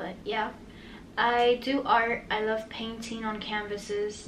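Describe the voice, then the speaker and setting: A woman with an American accent speaks in a fairly high voice amid audible room echo and noticeable background noise. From Miami, Florida. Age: 20s. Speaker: podcast host. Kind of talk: casual podcast monologue.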